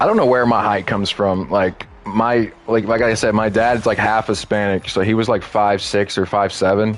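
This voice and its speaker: A man speaks at a moderate pace in a fairly low pitch. His intonation is monotone and flat, with music in the background. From Texas. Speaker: gaming streamer, military veteran. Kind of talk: casual live-stream gaming commentary. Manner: casual, halting with fillers.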